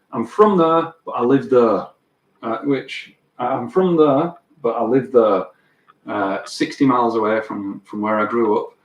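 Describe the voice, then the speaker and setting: The speaker has a Lancashire accent and lively intonation. The pace is fairly slow. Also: man, medium pitch for a man. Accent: Wigan accent, stands out in Sheffield. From northern England, Wigan. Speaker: guitar teacher and livestreamer. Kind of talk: casual live stream chat. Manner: halting, many fillers and repeats.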